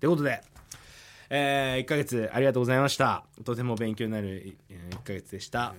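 A man talks with ordinary pitch variation in an unremarkable speaking voice. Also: medium pitch for a man, fairly quick pace. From Sapporo, Hokkaido, Japan. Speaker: musician and radio host. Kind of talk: radio show hosting. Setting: radio studio.

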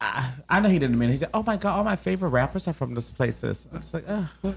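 A man talking at a fairly quick pace with very wide pitch swings against a quiet background. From Liberia. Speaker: radio co-host. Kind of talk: casual chat.

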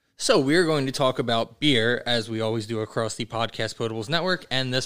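Fairly quick and at a medium pitch, a man talks in an ordinary speaking voice. The recording is very clean, with a silent background. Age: 30s. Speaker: podcast host and band director. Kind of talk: casual chat.

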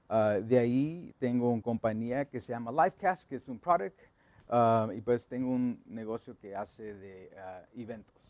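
Here a man talks at a fairly slow pace with a medium pitch and ordinary pitch variation. His loudness swings widely. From Los Angeles, Guatemalan family. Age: 30s. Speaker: funeral home owner. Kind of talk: casual interview. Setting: studio.

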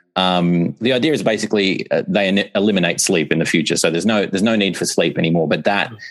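With an Australian accent, a man talks at a very fast pace in a very deep, low pitch over noticeable background noise. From Australia, Melbourne. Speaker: author and composer. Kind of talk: casual interview.

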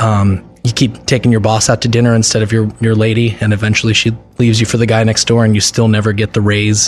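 A man with an American accent, fairly low pitch, very fast pace and monotone, flat intonation, with music in the background. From New Jersey (Morris and Bergen County). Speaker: musician. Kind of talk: casual interview.

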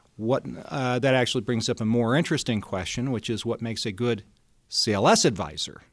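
In a plain, everyday voice, a man with an American accent speaks at a medium pitch and a fairly quick pace with ordinary pitch variation, on a very clean recording with a silent background. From Colorado, Denver. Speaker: investment wholesaler. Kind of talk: interview.

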